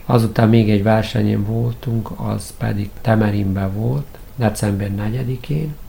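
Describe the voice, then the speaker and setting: Noticeable background noise sits under a man speaking at a very slow pace. His voice is fairly low in pitch, with ordinary pitch variation. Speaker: karate head coach. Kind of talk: radio interview.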